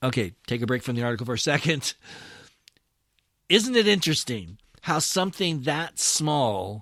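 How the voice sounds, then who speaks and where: A man of medium pitch with very wide pitch swings, at a fairly slow pace, in a very clean recording with a silent background. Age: 60s. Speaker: pastor and podcast host. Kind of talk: podcast commentary reading an article. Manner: conversational, with fillers and restarts.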